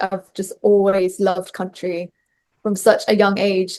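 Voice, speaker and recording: This woman speaks at a medium pitch in a Bristolian accent. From England, Bristol. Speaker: country singer-songwriter. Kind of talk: interview.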